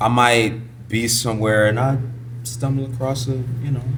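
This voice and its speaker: A man with a medium-pitched voice speaks at a moderate pace in a monotone, flat delivery, with audible room echo and noticeable background noise. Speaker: R&B singer and music producer. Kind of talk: casual chat. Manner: soft-spoken.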